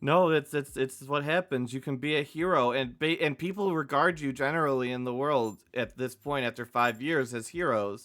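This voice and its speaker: Here is a man with an ordinary speaking voice and a fairly high pitch. He keeps a moderate pace with ordinary pitch variation and hardly any pauses. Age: 30s. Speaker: dungeon master. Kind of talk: tabletop role-play session. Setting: live stream.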